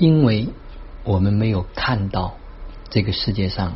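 The speech moves at a fairly slow pace with lively intonation, and the room echo is audible. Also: man. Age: 50s. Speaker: self-development speaker. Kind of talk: daily monologue sharing. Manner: animated.

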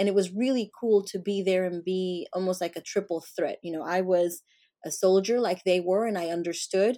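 Her Spanish accent comes through as a woman speaks at a medium pitch and moderate pace, in a dark, mellow tone with fairly even intonation, on a very clean recording with a silent background. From Colombia. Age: 40s. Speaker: entrepreneur and consultant. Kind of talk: interview conversation.

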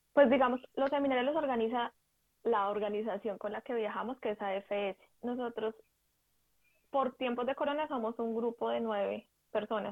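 With a Bogotá accent, a woman speaks at a moderate pace in a fairly high voice. Her intonation is fairly even, and she leaves long, frequent pauses. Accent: Colombian Spanish (Bogotá). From Colombia (Bogotá / Ubaté). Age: 20s. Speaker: advertising professional on volunteer exchange. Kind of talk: interview conversation.

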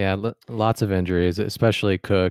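Very clean recording of a man, the sound dry and close with no echo against a silent background. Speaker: podcast host. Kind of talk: casual chat.

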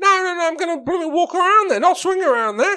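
In a put-on character voice, a man talks very fast at an extremely high pitch. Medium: actual play. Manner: hesitant, lots of ums and stammering.

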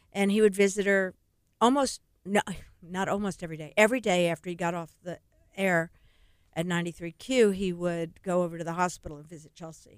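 A woman with a normal speaking voice talks at a moderate pace, fairly low in pitch with ordinary pitch variation, and her loudness shifts in big swings. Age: 60s. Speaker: charity run coordinator and former teacher. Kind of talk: radio interview. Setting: radio studio.

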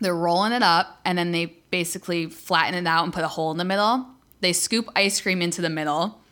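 On a very clean recording with a silent background, a woman at medium pitch speaks loudly and fairly quickly, with a bright, sharp, animated tone and ordinary pitch variation. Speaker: podcast co-host. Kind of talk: casual chat, profane. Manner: loud, hyper, animated; excitable, swears constantly.

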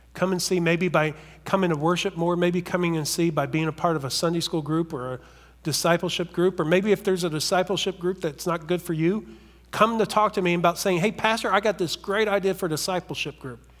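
A high-pitched male voice at a fairly quick pace, with fairly even intonation, on a very clean recording with a silent background. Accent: American. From US South, southern West Virginia. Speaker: pastor. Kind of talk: sermon.

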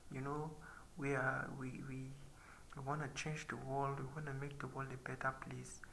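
Noticeable background noise runs through the clip. The pace is moderate. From Nigeria. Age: 20s. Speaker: podcaster. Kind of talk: sermon.

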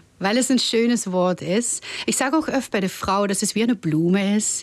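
A woman with a Dutch accent and ordinary pitch variation. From Netherlands. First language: Dutch (speaking German). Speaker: tantra masseuse. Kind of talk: interview. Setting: studio.

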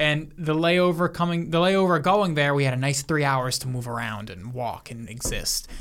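Using a normal speaking voice, a man talks at a moderate pace and fairly high pitch, with lively intonation and hardly any pauses. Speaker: podcast co-host. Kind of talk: casual banter between friends.

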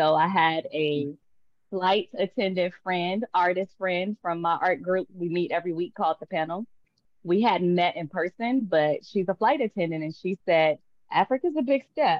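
In an American accent, a woman speaks at a moderate pace with lively intonation and an ordinary speaking voice. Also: medium pitch for a woman. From Tulsa, Oklahoma. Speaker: artist and entrepreneur. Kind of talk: casual interview. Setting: video call.

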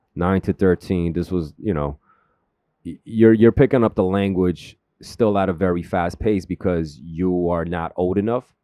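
With a New York accent, a man speaks in a very deep, low pitch and a dark, mellow tone, with ordinary pitch variation and a dry, close sound with no echo. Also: moderate pace, quiet background. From Queens, New York (born South Korea). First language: Korean. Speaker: filmmaker and creative. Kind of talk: casual interview chat. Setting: radio studio. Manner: laid-back, slangy.

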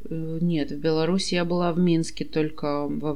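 A woman with a fairly low pitch is heard with audible room echo. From Kazakhstan. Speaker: podcast host. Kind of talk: casual chat.

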